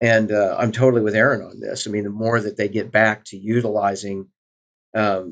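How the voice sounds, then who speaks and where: Over a quiet background, a man with an American accent uses an unremarkable speaking voice at a medium pitch and a moderate pace. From US Midwest (Southwest Missouri). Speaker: think tank scholar. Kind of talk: casual chat.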